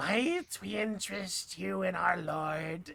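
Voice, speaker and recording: The speaker uses a put-on character voice at a middle pitch. The delivery is very slow. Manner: eerie, inviting.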